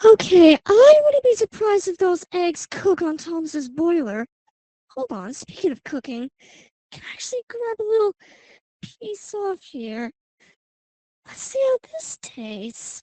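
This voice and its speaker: In a put-on character voice, a woman speaks at a moderate pace with extremely high pitch, very wide pitch swings, big swings in loudness and long, frequent pauses. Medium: machinima. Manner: cheerful, teasing.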